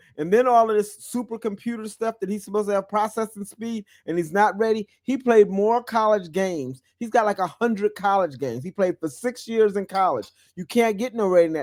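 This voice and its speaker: An animated man talks at a fairly quick pace with hardly any pauses, his pitch high and the sound dry and close with no echo. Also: ordinary pitch variation. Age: 60s. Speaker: sports radio host. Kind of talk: casual sports talk.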